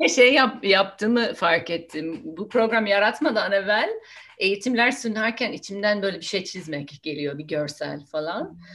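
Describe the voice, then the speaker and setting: The voice carries an English accent and lively intonation. It moves at a fairly slow pace. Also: woman, medium pitch for a woman. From United States. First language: English (speaking Turkish). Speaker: nonviolent communication trainer. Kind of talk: casual interview.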